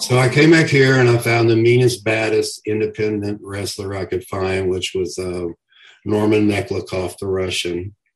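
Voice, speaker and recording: A somewhat breathy man with a Southern US accent and a fairly low voice, at a moderate pace, with ordinary pitch variation and big swings in loudness. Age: 60s. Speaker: professional wrestler. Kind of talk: casual interview.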